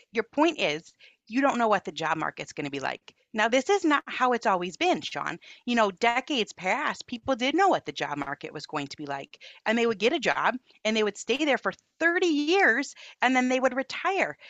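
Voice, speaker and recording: Talking at a fairly quick pace, a woman with an American accent and vocal fry keeps a fairly high pitch that swings very widely. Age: 40s. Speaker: author and parenting movement founder. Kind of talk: interview conversation.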